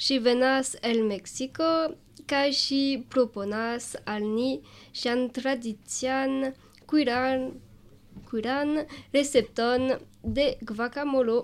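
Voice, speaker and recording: Speaking at a very slow pace with long, frequent pauses, a woman uses a high pitch in a very clean recording with a silent background. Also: fairly even intonation. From Alsace, France. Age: 20s. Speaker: volunteer. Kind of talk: scripted radio reading.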